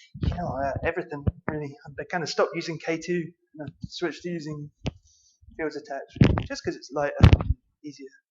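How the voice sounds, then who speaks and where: A man speaks with a Scottish accent. His pace is very fast. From Scotland. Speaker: conference speaker, software developer. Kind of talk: conference talk.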